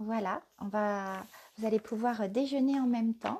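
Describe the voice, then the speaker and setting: A woman's fairly high, somewhat breathy voice with a dark, mellow tone and fairly even intonation. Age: 50s. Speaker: spiritual life coach. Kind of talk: live stream talk. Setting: live video stream. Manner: hesitant, many fillers.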